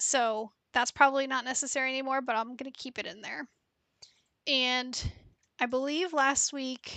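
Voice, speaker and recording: Over a quiet background, a soft-spoken woman with a high, bright and sharp voice talks with fairly even intonation, big swings in loudness, and long, frequent pauses. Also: moderate pace, dry sound with no echo. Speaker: data analytics streamer. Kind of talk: live-stream tutorial. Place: home room. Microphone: headset.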